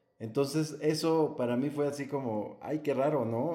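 In an ordinary speaking voice, a man talks at a fairly slow pace with a medium pitch and fairly even intonation. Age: 40s. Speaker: adoptive father. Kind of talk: casual interview chat.

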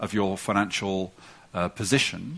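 Someone speaks with an English accent over a quiet background. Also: man. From England. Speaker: policy report author. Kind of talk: panel conversation.

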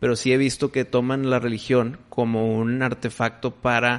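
A man's unremarkable speaking voice, medium in pitch with fairly even intonation. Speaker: podcast host. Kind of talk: casual chat.

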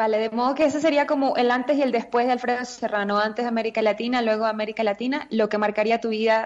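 A woman's fairly high-pitched voice, a normal speaking voice. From Venezuela (Caracas). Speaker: radio co-host. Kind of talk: casual interview chat.

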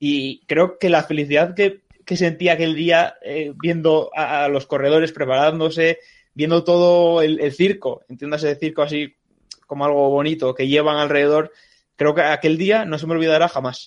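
Speaking at a moderate pace, a man has fairly high pitch and a monotone, flat intonation. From Asturias, Spain. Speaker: podcast co-host. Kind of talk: casual chat.

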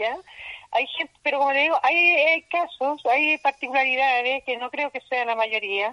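A raised, projected voice with a bright, sharp tone and a dry, close sound with no echo. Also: woman. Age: 60s. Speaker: market vendor and association leader. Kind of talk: interview. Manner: energetic.

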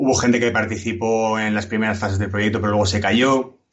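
A man's medium-pitched voice, fairly even in intonation, comes through noticeable background noise. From Alicante, Spain. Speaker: game programmer and designer. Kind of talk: casual interview.

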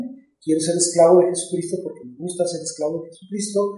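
A man's high-pitched voice with audible room echo. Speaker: pastor. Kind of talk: casual chat.

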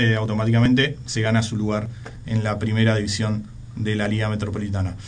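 The voice is somewhat breathy and monotone, with flat intonation and long, frequent pauses. Audible room echo surrounds it. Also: man. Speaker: radio host. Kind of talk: radio sports talk show. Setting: radio studio.

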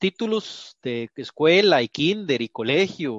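A man with a Costa Rican accent, fairly high pitch and lively intonation. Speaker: podcast co-host. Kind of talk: casual chat.

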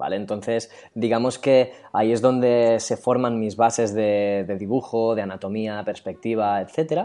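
A man's dark, mellow, medium-pitched voice at a fairly slow pace, with fairly even intonation and hardly any pauses. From Catalonia, Spain. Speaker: illustrator and character designer. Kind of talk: casual interview chat.

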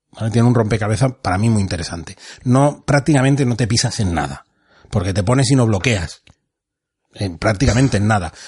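Against a quiet background, a man speaks at a fairly quick pace with lively intonation. His fairly low voice is somewhat breathy. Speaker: board game podcast host. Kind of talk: game rules explanation; casual chat.

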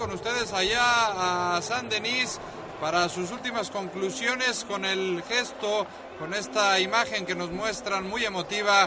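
Raising and projecting his high-pitched voice, a man speaks with fairly even intonation over noticeable background noise. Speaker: studio presenter. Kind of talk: radio show hosting, studio discussion. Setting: studio.

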